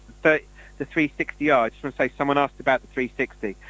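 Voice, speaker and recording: The man's voice comes through a very clean recording with a silent background, dry and close with no echo. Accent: British. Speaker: conspiracy show co-host. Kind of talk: casual chat. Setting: live stream. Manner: fast.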